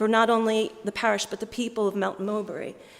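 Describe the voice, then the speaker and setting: Delivered at a moderate pace with fairly even intonation, this is a normal speaking voice with an American accent. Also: woman. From US, Philadelphia. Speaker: diocesan fundraising manager. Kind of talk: appeal speech to church congregation.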